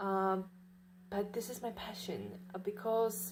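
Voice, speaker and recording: At a very slow pace, a woman with a non-native accent speaks with fairly even intonation. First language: not English. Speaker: vlogger. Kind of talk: casual monologue. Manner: halting, many fillers.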